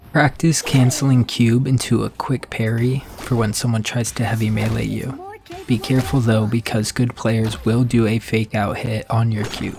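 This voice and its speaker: A man speaks at a moderate pace with fairly even intonation over noticeable background noise. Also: medium pitch for a man, hardly any pauses. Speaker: video game guide creator. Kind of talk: game tutorial narration.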